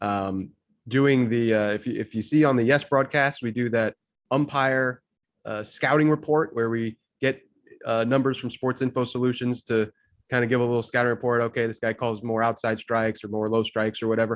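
A man speaks in an ordinary speaking voice. His medium pitch follows fairly even intonation. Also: fairly quick pace. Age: 30s. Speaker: baseball researcher. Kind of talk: casual chat.

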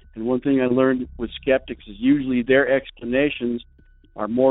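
Intonation stays monotone and flat throughout. The pace is moderate. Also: man. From New Mexico. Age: 50s. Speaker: caller. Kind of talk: recorded voicemail story.

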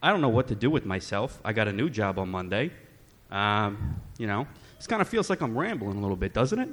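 Here a man speaks with lively intonation and a fairly low pitch. His pace is fairly quick. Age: 20s. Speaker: first-time stand-up comedian. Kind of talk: stand-up. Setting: stage with audience.

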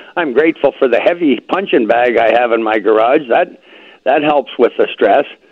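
A man's plain, everyday voice in a Canadian accent, medium in pitch with ordinary pitch variation, very even loudness and a moderate pace. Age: 60s. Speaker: health product user giving testimonial. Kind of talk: testimony.

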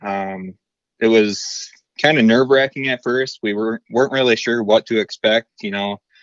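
A man's plain, everyday voice at a medium pitch and moderate pace, with an American accent. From central Michigan. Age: 20s. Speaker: deer hunter. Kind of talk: casual chat. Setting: phone call.

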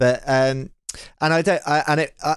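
In a very clean recording with a silent background, a man talks in a normal speaking voice with ordinary pitch variation. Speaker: producer and co-host. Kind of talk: casual chat.

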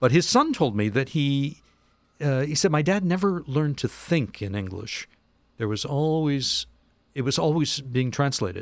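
A man with a normal speaking voice talks at a moderate pace, fairly high in pitch with lively intonation. The recording is very clean, with a silent background. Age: 60s. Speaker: cultural historian and author. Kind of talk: casual chat.

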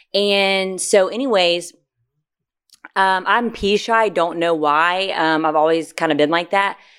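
Over a very clean recording with a silent background, a woman speaks at a medium pitch with ordinary pitch variation. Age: 20s. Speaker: podcast co-host. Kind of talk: casual chat. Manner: fast.

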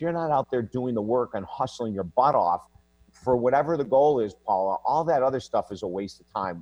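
Lively intonation and big swings in loudness run through this man's speech. He talks at a fairly quick pace with a medium pitch. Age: 60s. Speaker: life and relationship coach. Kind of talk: interview. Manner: animated.

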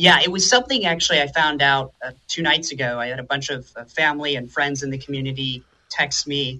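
In an unremarkable speaking voice, a man with a fairly high pitch talks at a fairly quick pace with fairly even intonation. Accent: American. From Florida. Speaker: recent graduate. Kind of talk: interview. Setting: remote call.

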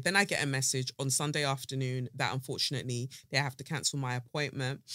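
In a South London accent, the speaker has an animated, bright, sharp tone, heard in a dry, close sound with no echo. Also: woman, very clean recording, silent background. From South London, England. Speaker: podcast host. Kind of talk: casual chat. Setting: studio.

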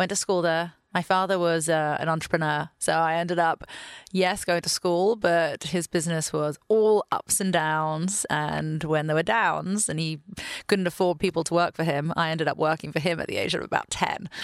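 A woman speaks with an American accent in a fairly low pitch. Her pace is moderate and her intonation fairly even. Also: dry, close sound with no echo, very clean recording, silent background. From London, England. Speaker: venture capital partner. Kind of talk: casual interview.

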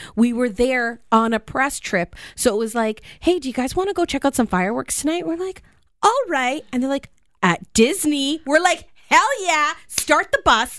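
A woman talks at a moderate pace in a high voice, with an animated tone and very wide pitch swings. The recording is very clean, with a silent background. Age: 30s. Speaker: radio show host. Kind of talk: casual chat. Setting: radio studio.

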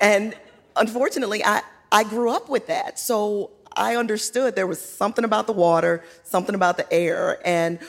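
A woman talks with an American accent and a fairly high pitch. Noticeable background noise sits behind her. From Virginia (Hopewell). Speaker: political candidate. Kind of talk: live panel interview. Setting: stage with audience.

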